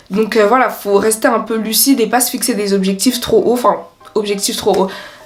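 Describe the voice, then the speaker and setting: This woman talks at a fairly quick pace in a fairly high pitch, her intonation fairly even, with noticeable background noise behind her. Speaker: student youtuber. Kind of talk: casual vlog advice. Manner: casual, fast.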